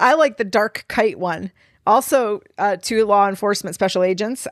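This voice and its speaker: Loud and at a medium pitch, a woman speaks at a moderate pace with ordinary pitch variation. The sound is dry and close, with no echo. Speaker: paranormal podcast co-host. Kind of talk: reading documents aloud with commentary.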